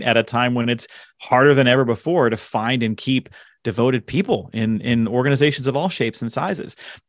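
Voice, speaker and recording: A man talks at a fairly quick pace in a medium pitch. He has an ordinary speaking voice. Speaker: author and leadership speaker. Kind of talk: casual interview chat.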